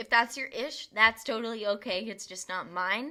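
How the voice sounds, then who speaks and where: A woman talks at a moderate pace in a fairly high pitch with a bright, sharp tone. The recording is very clean, with a silent background. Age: 20s. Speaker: podcast host. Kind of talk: casual podcast monologue. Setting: home bedroom recording.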